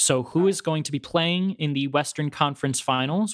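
An ordinary speaking voice at a fairly quick pace. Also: man. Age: 20s. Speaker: podcast co-host, actor. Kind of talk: casual chat.

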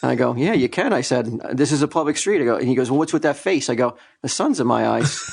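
Against noticeable background noise, a man speaks very fast with very even loudness and ordinary pitch variation. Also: medium pitch for a man. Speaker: podcast co-host. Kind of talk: casual comedy podcast banter.

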